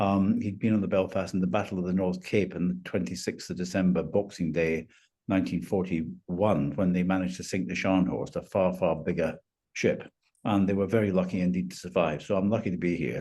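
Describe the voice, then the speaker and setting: A man with a Scottish accent speaks at a fairly quick pace, his voice very deep and low. His tone is dark and mellow with vocal fry and ordinary pitch variation. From Scotland, Lanarkshire. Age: 70s. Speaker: retired finance professional. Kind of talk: interview.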